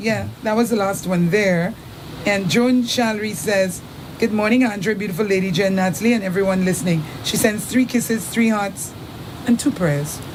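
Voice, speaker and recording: Moderate pace, ordinary pitch variation and very even loudness, with audible room echo and noticeable background noise. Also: woman, medium pitch for a woman. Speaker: radio host. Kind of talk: reading listener messages on live radio.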